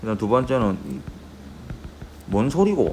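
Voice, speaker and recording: A voice with very wide pitch swings is heard with audible room echo and noticeable background noise. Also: man. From Gyeongsang region, South Korea. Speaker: high school Korean teacher. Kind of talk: lecture. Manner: conversational, checks in with students.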